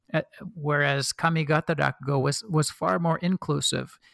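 Recorded very clean with a silent background and a dry, close sound with no echo, a man with an American accent speaks at a moderate pace, fairly high in pitch with fairly even intonation. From US Pacific Northwest (Oregon). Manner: hesitant, filler-heavy.

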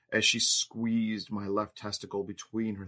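Someone reads in an unforced reading voice.

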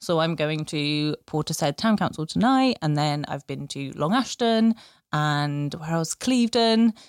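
On a very clean recording with a silent background, a woman with a very deep, low pitch speaks at a fairly slow pace with very wide pitch swings, in a dry, close sound with no echo. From Bristol, England. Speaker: local democracy reporter. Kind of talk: casual interview chat.

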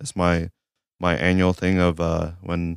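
A man's very deep, low voice with an American accent, at a fairly quick pace, on a very clean recording with a silent background. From US South. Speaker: car enthusiast. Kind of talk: casual chat. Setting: studio.

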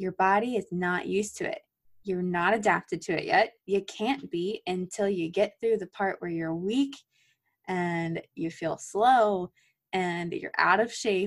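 At a fairly slow pace, an ordinary speaking voice shows ordinary pitch variation. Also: woman, medium pitch for a woman. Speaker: physical therapy student podcast co-host. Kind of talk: casual chat.

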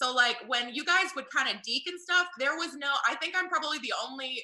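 This woman has an American accent. She talks at a fairly quick pace. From US South. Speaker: game show tagger. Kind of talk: casual chat.

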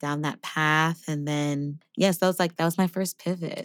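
A woman with an American accent speaks in a very deep, low pitch. Her intonation is monotone and flat, on a very clean recording with a silent background. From New York City. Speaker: singer and voice teacher. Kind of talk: casual chat.

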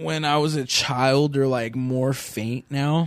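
This man speaks with a Californian accent. His voice sits at a medium pitch. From Southern California, Orange County. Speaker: podcast host. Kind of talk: casual chat.

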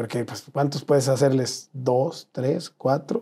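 A man's medium-pitched voice at a fairly slow pace, somewhat breathy, with a dark, mellow tone. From northern Mexico, Sonora (Nogales). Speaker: travel content creator. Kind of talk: casual interview.

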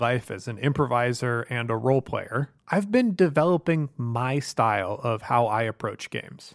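A man with a plain, everyday voice, medium pitch, ordinary pitch variation, and a moderate pace, on a very clean recording with a silent background and a dry, close sound with no echo. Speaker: podcast host and game master. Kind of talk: tabletop roleplaying game session. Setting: studio.

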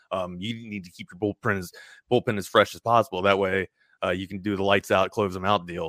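A man with an American accent, fairly low-pitched and monotone, at a fairly quick pace with big swings in loudness, in a dry, close sound with no echo on a very clean recording with a silent background. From Baltimore, Maryland. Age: 40s. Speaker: sports radio personality. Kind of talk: casual chat.

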